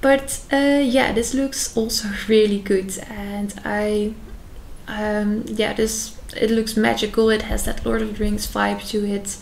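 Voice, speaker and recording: In a Dutch accent, a woman talks at a fairly slow pace with fairly even intonation and a fairly high pitch. Audible room echo and noticeable background noise are present. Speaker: youtuber. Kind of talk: casual reaction video commentary. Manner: hesitant, many fillers.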